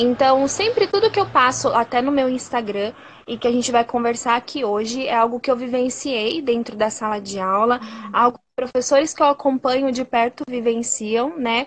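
A woman with a high pitch and ordinary pitch variation talks at a moderate pace as noticeable noise carries in the background. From Brazil, interior of São Paulo state (Sorocaba). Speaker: primary school teacher. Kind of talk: casual conversation. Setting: Instagram live video call.

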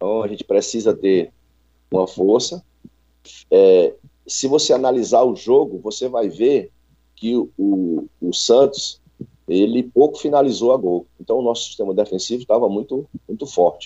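A man speaks at a moderate pace, stopping often for long pauses. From Ceará, Brazil (Fortaleza). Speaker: football coach. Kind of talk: radio interview.

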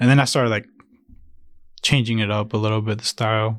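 At a fairly quick pace, a man with a Spanish accent speaks in a relaxed tone at a medium pitch. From Jalisco, Mexico, raised in Chicago. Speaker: painter and illustrator. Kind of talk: casual chat. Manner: casual, relaxed.

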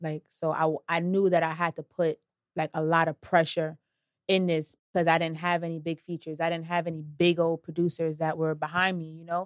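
A woman talks at a fairly quick pace with a fairly low pitch. Her intonation is monotone and flat, and the sound is dry and close with no echo. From Brooklyn, New York City (Brownsville). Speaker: rapper. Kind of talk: interview.

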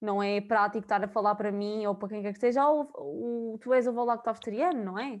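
Over a quiet background, a woman uses a plain, everyday voice at a fairly quick pace, with a fairly high pitch and ordinary pitch variation. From Portugal, Viseu area. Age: 20s. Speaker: university student. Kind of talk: casual chat.

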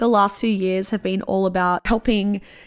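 A woman's medium-pitched, flat monotone at a moderate pace, on a very clean recording with a silent background. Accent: Australian. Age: 30s. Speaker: podcast host and musician. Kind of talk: solo monologue.

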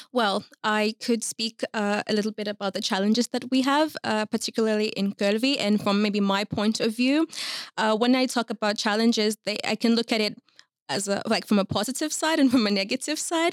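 Recorded dry and close with no echo, a woman with a normal speaking voice talks at a fairly quick pace, her fairly high pitch showing ordinary variation. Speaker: youth worker at immigrant support NGO. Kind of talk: casual interview.

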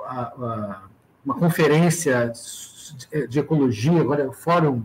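A man speaks very slowly in a fairly high voice, his pitch rising and falling in an ordinary way. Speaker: university professor. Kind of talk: casual interview on a live stream. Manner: hesitant, with frequent filler and repetitions.

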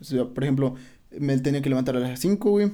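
Here a man talks in a fairly high pitch. His tone is dark and mellow. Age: 20s. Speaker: podcast guest. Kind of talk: casual chat.

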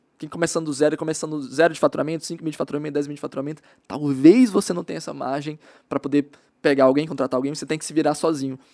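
With a dark, mellow tone and fairly high pitch, a man talks at a very fast pace with fairly even intonation. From Maranhão, Brazil. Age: 20s. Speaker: digital marketing specialist. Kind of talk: casual interview.

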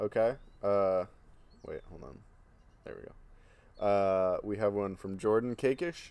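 A man with a fairly low voice talks at a fairly slow pace with long, frequent pauses. His loudness swings widely while his pitch varies in an ordinary way. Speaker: podcast co-host. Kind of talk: casual chat.

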